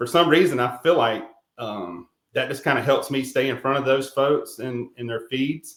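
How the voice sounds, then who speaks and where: With a slight Carolina accent, a man speaks at a moderate pace in a medium pitch with ordinary pitch variation. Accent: slight Carolina Southern. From South Carolina, Rock Hill. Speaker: real estate agent, veteran. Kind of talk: interview. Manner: halting, many fillers.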